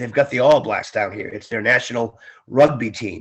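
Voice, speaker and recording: The speaker has a plain, everyday voice. The pace is moderate, and the pitch varies in an ordinary way. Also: man. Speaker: ring announcer; former Marine and radio DJ. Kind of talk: interview answer. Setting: remote call, video/phone interview from Florida.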